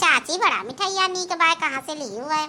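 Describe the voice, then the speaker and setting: In a squeaky, cartoonish character voice, a woman speaks at a fairly quick pace with lively intonation and an extremely high pitch. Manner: warm, chatty.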